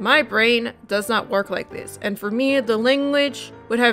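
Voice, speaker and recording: The speaker's pitch varies in an ordinary way, with music playing in the background. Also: woman. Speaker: hobby sewer. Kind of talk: sewing tutorial narration. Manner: fast.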